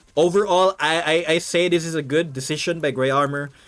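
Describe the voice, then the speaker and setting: A man's fairly high voice with a non-native accent and ordinary pitch variation. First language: not English. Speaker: game caster. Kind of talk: live commentary.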